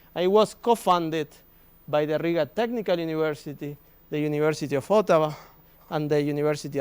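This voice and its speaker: A man with a Spanish accent talks at a fairly quick pace in a fairly high voice, in a very clean recording with a silent background. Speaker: business school professor. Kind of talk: presentation at an open day. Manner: halting.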